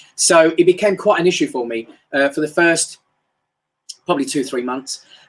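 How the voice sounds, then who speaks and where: With a London accent, a man speaks at a high pitch and moderate pace. His intonation is lively. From England, North London. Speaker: motivational speaker. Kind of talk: live-stream motivational talk. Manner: casual, hesitant with fillers.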